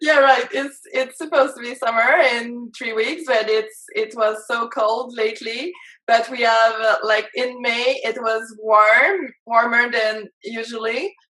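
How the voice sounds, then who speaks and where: A woman's fairly high, bright, sharp voice in a French-Canadian accent, fairly slow with hardly any pauses and ordinary pitch variation. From Quebec, Canada. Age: 30s. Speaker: life and business coach. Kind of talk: interview. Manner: halting, many fillers.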